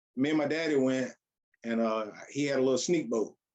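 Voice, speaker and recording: An unremarkable speaking voice from a man with an American accent, fairly high in pitch and fairly even in intonation. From South Carolina, Columbia. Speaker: duck hunter. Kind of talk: casual chat.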